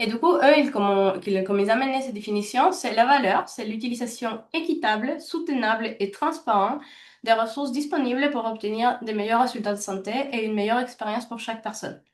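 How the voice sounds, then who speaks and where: Fairly high in pitch and fairly quick in pace, a woman speaks with a slight non-native accent. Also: ordinary pitch variation. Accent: slight foreign. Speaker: healthcare value trainer and consultant. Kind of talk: webinar presentation. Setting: online webinar. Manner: fast; halting, many fillers.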